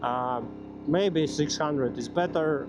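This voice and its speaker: In audible room echo, a man with a Latvian accent speaks at a fairly slow pace and a fairly high pitch with lively intonation. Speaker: motorcycle vlogger. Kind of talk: casual vlog monologue. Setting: riding a motorcycle outdoors. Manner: halting, many fillers.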